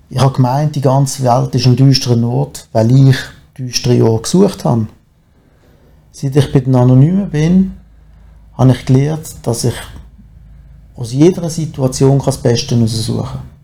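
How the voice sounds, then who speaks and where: A man's medium-pitched, somewhat breathy voice with a dark, mellow tone, ordinary pitch variation and a moderate pace broken by long, frequent pauses. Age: 40s. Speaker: recovering alcoholic. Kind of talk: testimony. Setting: studio.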